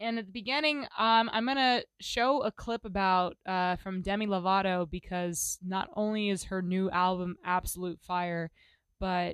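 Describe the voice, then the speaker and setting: An ordinary speaking voice, female, medium in pitch, with ordinary pitch variation. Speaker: podcast host. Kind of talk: casual solo monologue. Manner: rambling, casual, self-interrupting.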